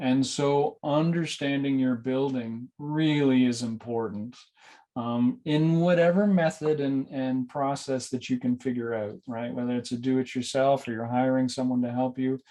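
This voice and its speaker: With a Canadian accent, a man speaks at medium pitch in a dark, mellow tone. His pace is moderate and his intonation fairly even. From Canada. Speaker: building energy consultant. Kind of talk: webinar presentation. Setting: online webinar. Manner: hesitant, many fillers.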